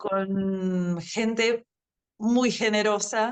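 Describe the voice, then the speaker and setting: A woman with an Argentine accent. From Brazil. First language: Portuguese (speaking Spanish). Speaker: language teacher. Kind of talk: interview. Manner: hesitant, many fillers.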